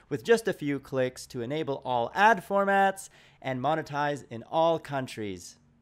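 A man's pitch swings very widely as he talks at a moderate pace, with a quiet background behind him. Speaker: channel network host. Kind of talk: promotional announcement.

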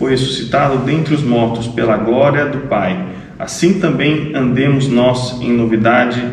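Audible room echo around a man speaking at a fairly slow pace. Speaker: scripture reader at a service. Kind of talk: scripture reading. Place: church. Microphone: camera far.

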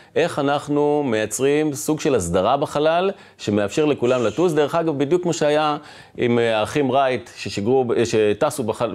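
The speaker keeps a moderate pace, ordinary pitch variation and very even loudness. The background is quiet. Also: man, fairly high pitch for a man. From southern Israel (Dimona); Israel. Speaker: head of defense space program; podcast guest. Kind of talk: interview. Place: studio. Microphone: lapel.

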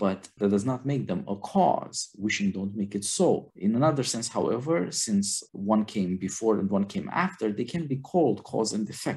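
A man speaks in a normal speaking voice, fairly low in pitch, with lively intonation. He keeps a moderate pace with hardly any pauses. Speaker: podcast host. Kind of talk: film discussion podcast. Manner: formal.

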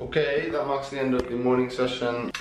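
Over faint background noise, a man talks at a fairly quick pace.

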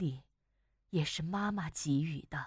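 This woman's voice is somewhat breathy and fairly slow. The recording is very clean, with a silent background. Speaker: broadcaster, voice-over artist. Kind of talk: prose reading.

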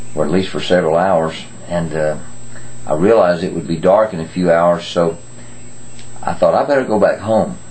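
This man has a very deep, low pitch. He talks at a fairly quick pace with ordinary pitch variation. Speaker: grandfather giving children's devotions. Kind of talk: children's Bible devotion talk. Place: home room. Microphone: webcam.

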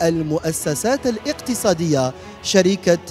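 A man's high-pitched voice at a fairly slow pace, with faint music in the background. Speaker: event host. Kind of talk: ceremonial welcome address. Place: hall. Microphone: handheld.

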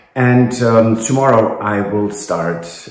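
The man's fairly low voice carries an audible room echo. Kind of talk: casual vlog chat. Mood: cheerful, upbeat. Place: home room. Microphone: phone near.

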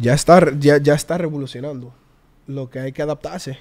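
Here a man speaks at a fairly high pitch with a dark, mellow tone. His intonation stays fairly even. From Curaçao. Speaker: worship singer; podcast guest. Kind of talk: casual chat. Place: studio. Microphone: studio mic.

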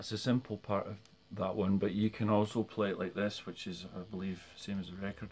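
A man with a normal speaking voice, fairly low pitch, fairly even intonation and a moderate pace, over light background noise. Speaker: guitar teacher. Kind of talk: tutorial. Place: home room. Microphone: phone near.

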